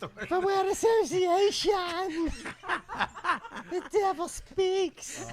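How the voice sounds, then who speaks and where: A put-on character voice, extremely high in pitch, at a very slow pace with long, frequent pauses. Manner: sinister.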